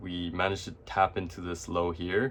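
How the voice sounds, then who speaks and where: The man's very deep, low pitch comes at a moderate pace. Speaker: forex and indices trader. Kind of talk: screen-share trading tutorial. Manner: stutters, many fillers; casual, hesitant.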